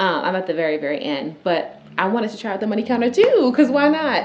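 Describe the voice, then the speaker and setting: An animated woman's voice at medium pitch, with very wide pitch swings and a fairly quick pace, amid noticeable background noise and audible room echo. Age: 20s. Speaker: YouTuber and teacher. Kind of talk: reaction commentary.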